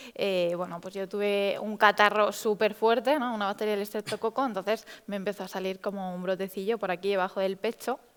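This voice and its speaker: On a very clean recording with a silent background, a woman with a plain, everyday voice speaks at medium pitch and a moderate pace, her intonation fairly even. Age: 20s. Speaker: patient sharing experience, psychologist. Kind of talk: testimony.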